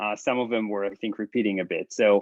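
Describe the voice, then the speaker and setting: A man with an Israeli accent talks at a fairly quick pace, the sound dry and close with no echo against a quiet background. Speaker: professor. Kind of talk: lecture. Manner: halting, many fillers.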